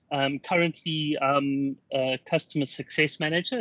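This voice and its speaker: A man with a fairly high pitch and a South African accent. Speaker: workplace analytics customer success manager. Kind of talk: interview.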